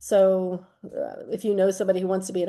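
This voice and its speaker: Against a quiet background, a woman speaks at medium pitch in a dark, mellow tone with monotone, flat intonation. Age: 60s. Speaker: retired art teacher. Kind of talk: interview.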